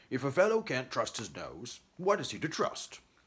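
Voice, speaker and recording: A put-on character voice from a man, high in pitch, at a moderate pace. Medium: read story. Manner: gruff, huffy.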